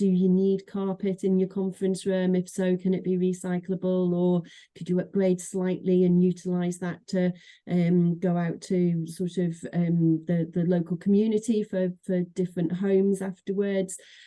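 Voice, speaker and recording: A woman with a Manchester accent speaks at a medium pitch in a dark, mellow tone. Her pace is moderate and her intonation monotone and flat. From northern England, Manchester. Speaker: association executive director. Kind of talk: interview conversation. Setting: podcast. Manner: hesitant, many fillers and repeats.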